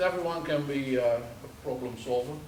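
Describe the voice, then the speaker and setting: Pitched fairly high, a man speaks at a fairly slow pace. Noticeable background noise and audible room echo fill the recording. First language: not English. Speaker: subsea engineer. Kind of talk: presentation to audience. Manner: hesitant, many fillers.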